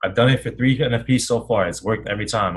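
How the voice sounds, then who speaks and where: A man's somewhat breathy, animated voice at a medium pitch and a moderate pace. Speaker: forex trading teacher. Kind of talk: webinar.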